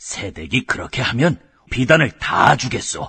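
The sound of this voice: A man puts on a raspy, cartoonish character voice at a medium pitch. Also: moderate pace.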